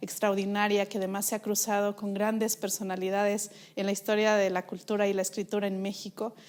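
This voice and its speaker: A woman of medium pitch speaks at a fairly slow pace in a monotone, flat intonation. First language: Mixe (speaking Spanish). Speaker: interviewer. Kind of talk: interview. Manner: halting with many fillers.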